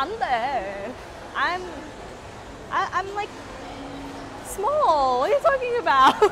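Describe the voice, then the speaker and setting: Noticeable noise runs in the background. The speaker talks at a very slow pace. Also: woman, extremely high pitch for a woman. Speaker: vlogger. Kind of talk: casual vlog chat. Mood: cheerful, laughing. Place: hall. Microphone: phone near.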